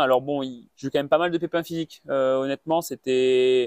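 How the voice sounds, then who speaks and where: The sound is dry and close, with no echo. A man talks at a fairly quick pace with ordinary pitch variation. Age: 20s. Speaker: mountain runner. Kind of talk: interview. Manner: halting, many fillers and repetitions.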